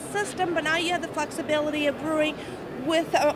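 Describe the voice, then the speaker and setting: A woman at a moderate pace, dry sound with no echo, and noticeable background noise. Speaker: product demonstrator. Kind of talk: product demo explanation. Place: hall. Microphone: handheld.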